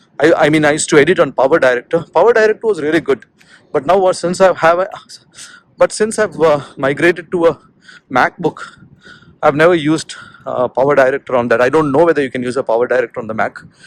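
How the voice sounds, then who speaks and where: A man speaks very fast, his voice fairly high with ordinary pitch variation. Long pauses come often, and the sound is dry and close with no echo. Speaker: vlogger. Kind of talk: walking vlog monologue. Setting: outdoors, walking. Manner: halting, many fillers.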